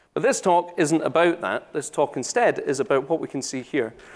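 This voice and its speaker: A man with a Scottish accent, fairly high-pitched with very wide pitch swings, on a very clean recording with a silent background. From Scotland. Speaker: solution architect. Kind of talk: conference talk. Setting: stage with audience. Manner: casual, joking.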